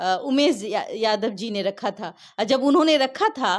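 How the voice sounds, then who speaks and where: A high-pitched woman's voice swings very widely in pitch, captured on a very clean recording with a silent background. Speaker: journalist and beauty pageant title holder. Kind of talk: interview.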